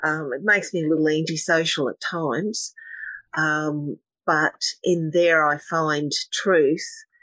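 In an Australian accent, a woman speaks very slowly with a very deep, low pitch and a flat, monotone delivery over a quiet background. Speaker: meditation teacher and energy healer. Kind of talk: casual interview.

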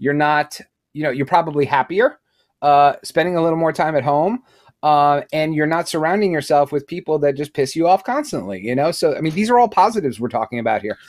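Lively intonation in an American accent at a fairly quick pace, on a very clean recording with a silent background. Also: man, fairly high pitch for a man. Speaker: Freemason panelist. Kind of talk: casual roundtable discussion. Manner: loud, jokey.

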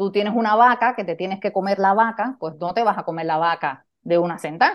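A woman speaks at a medium pitch with a Cuban accent. Her pace is moderate and her pitch varies in an ordinary way. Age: 50s. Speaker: leadership coach. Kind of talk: interview conversation.

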